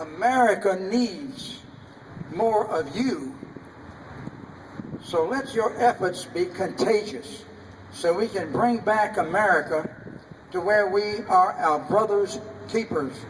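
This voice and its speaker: Over noticeable background noise, a man talks at a very slow pace with a high pitch and long, frequent pauses. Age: 80s+. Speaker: war veteran. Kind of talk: public speech at veterans' event.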